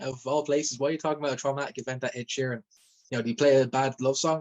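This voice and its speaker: A man with a Dublin accent speaks at a very fast pace and medium pitch in fairly even intonation, broken by long, frequent pauses. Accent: Dublin Irish. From Ireland, Dublin. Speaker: rapper and former event security worker. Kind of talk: testimony. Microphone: phone mic.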